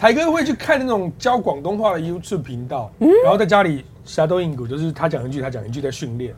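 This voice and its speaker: A man with a Taiwanese accent speaks very fast with hardly any pauses, his fairly high voice swinging very widely in pitch. His tone is animated. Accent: Taiwanese Mandarin. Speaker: livestream host. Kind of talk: casual chat.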